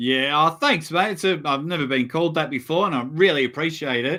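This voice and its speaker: A man's bright, sharp voice carries lively intonation. The recording is very clean, with a silent background. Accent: Australian. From Australia. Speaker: arm wrestling commentator. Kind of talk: casual chat. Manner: animated.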